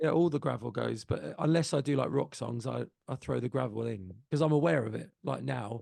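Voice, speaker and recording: In a medium pitch with a dark, mellow tone and vocal fry, a man talks at a fairly quick pace with lively intonation and hardly any pauses. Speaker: singer and musician. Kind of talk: casual chat.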